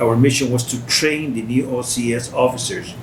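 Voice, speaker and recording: The speaker has a Spanish accent. There is noticeable background noise and audible room echo. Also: man. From Costa Rica. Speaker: war veteran. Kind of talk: interview. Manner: halting.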